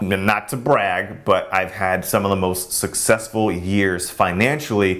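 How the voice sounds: With a low pitch and fairly bright tone, a man speaks at a fairly slow pace and keeps his intonation fairly even.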